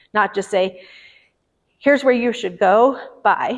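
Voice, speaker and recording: Pitch moves with ordinary variation. An American accent is heard. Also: woman. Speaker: mental health clinical director. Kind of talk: public presentation. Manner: fast.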